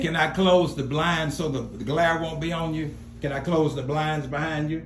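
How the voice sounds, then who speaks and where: Noticeable background noise behind a man with a fairly high pitch, fairly even intonation and a moderate pace. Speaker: radio host and reverend. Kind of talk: interview questions.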